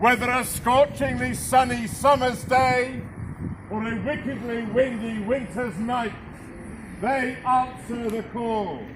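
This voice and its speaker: Against noticeable background noise, a man projects a raised voice at an extremely high pitch in a theatrical tone. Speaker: town crier. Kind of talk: town crier proclamation. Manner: loud, theatrical, formal proclamation.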